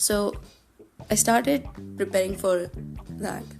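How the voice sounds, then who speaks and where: A woman speaks with music in the background. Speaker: podcast host. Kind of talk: casual podcast talk.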